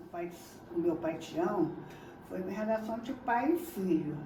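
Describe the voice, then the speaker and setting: A woman at a medium pitch makes very wide pitch swings, with audible room echo and noticeable background noise. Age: 70s. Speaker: Candomblé initiate. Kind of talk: testimony. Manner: halting.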